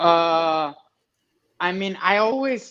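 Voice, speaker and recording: In a Spanish accent, a man speaks with a bright, sharp tone against a quiet background. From Mexico, Monterrey. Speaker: amateur fighter. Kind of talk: interview.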